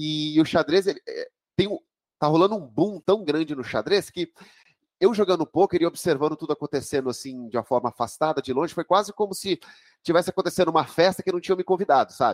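The sound is dry and close with no echo as a high-pitched man speaks at a very fast pace. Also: ordinary pitch variation. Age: 40s. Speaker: chess master and coach. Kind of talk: interview.

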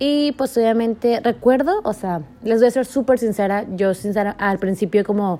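This woman's voice is fairly high in pitch, with a dark, mellow tone. Her pitch variation is ordinary. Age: 20s. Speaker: university student podcaster. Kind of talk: casual solo monologue.

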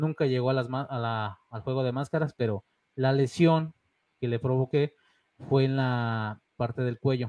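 A man with an ordinary speaking voice and medium pitch talks at a fairly slow pace with fairly even intonation. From Mexico, León (born in Monterrey). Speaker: independent wrestler. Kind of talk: interview. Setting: studio.

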